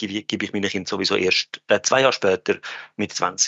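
The man's voice sits fairly low in pitch and stays monotone and flat. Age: 30s. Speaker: finance industry worker. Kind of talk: casual chat. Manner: halting.

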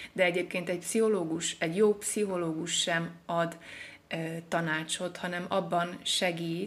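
The delivery is monotone, with flat intonation. The pace is fairly slow. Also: woman. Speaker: poet and literature therapist. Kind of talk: casual interview. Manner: halting, with fillers.

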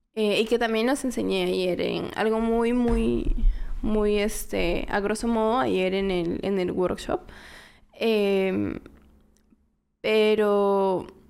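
A woman at a very slow pace, with long, frequent pauses and very even loudness. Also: medium pitch for a woman, ordinary pitch variation. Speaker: fashion model. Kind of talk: casual chat.

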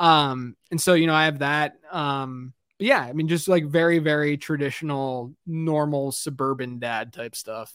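In a very clean recording with a silent background, a man with an American accent uses a normal speaking voice, fairly high in pitch, at a fairly slow pace with hardly any pauses and fairly even intonation. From Pittsburgh, US. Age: 30s. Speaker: fantasy football analyst and podcaster. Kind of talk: casual interview chat.

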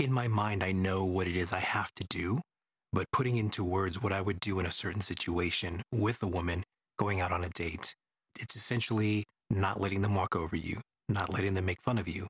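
In a very clean recording with a silent background and a dry, close sound with no echo, a man with a very deep, low pitch and a somewhat breathy voice talks at a fairly quick pace with fairly even intonation. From Houston, Texas. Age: 40s. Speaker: podcast host, dating advice. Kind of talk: casual monologue.

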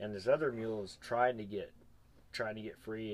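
A man with an American accent talks at a fairly quick pace and medium pitch. He has an ordinary speaking voice with ordinary pitch variation. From Arizona. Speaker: mule packer and clinic instructor. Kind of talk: casual chat. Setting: on location at a mule event.

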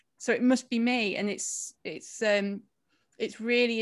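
An animated tone from a woman. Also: very clean recording, silent background. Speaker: podcast host. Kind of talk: casual chat interview. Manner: animated, giggly.

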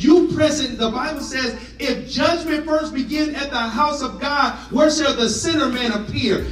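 Over noticeable background noise, a man talks at a moderate pace in an animated tone. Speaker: pastor. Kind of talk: sermon. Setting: church with congregation. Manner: animated, call-and-response preaching; conversational, humorous, urgent.

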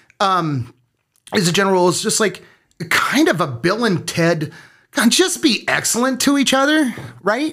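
Speaking with a Minnesota accent, a man uses a high, bright, sharp voice with very wide pitch swings. His pace is moderate, broken by long, frequent pauses. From small-town Minnesota. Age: 50s. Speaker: military veteran and parent. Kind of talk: interview.

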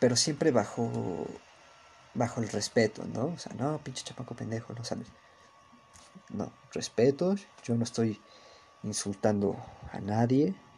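A man at medium pitch in a Mexico City accent, fairly slow, with long, frequent pauses. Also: big swings in loudness. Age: young. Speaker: podcaster. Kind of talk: casual monologue. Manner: monotone.

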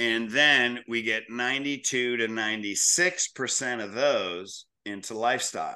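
Against a quiet background, a man with a bright, sharp tone speaks at a very slow pace with hardly any pauses. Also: medium pitch for a man, ordinary pitch variation. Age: 60s. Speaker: chiropractor and practice coach. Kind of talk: podcast interview.

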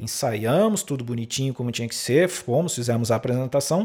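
A man speaks in a somewhat breathy voice over a very clean recording with a silent background. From interior of São Paulo state, Brazil. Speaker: podcast host, saxophonist and music teacher. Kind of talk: solo podcast monologue, educational talk. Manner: hesitant with frequent fillers.

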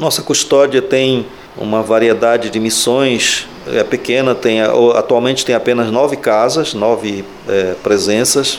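Noticeable background noise sits under a fairly slow delivery that keeps very even loudness and fairly even intonation. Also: man, medium pitch for a man. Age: 60s. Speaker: Franciscan friar. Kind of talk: interview. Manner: halting.

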